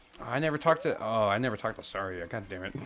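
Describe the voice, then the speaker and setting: Through noticeable background noise, a man at medium pitch talks at a very fast pace. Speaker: video game streamer. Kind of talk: live gameplay commentary. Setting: live stream. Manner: casual, conversational.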